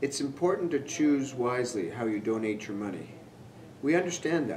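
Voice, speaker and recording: A man at a fairly quick pace with ordinary pitch variation, over light background noise. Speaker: presenter. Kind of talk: scripted promotional address to camera. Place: hall.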